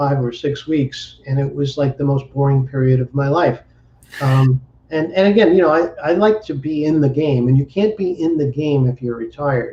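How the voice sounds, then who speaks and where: A man's fairly high, somewhat breathy voice at a moderate pace, with ordinary pitch variation. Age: 60s. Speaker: entrepreneur and business coach. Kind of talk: interview. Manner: halting, repeats words.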